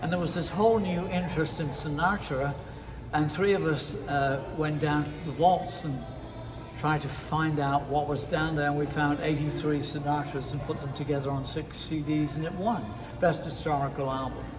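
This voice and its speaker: Noticeable background noise and audible room echo surround a man whose fairly high pitch moves with fairly even intonation. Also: moderate pace. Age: 80s+. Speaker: radio DJ and music producer. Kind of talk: interview. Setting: lounge, in person.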